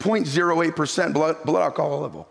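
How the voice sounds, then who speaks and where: Over noticeable background noise, a man talks at a very fast pace in a high pitch with ordinary pitch variation. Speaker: pastor. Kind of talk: sermon.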